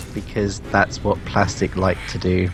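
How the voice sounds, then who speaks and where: A man talks rather slowly while music plays behind him. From UK. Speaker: gaming stream co-host. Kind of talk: casual chat. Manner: halting, many fillers.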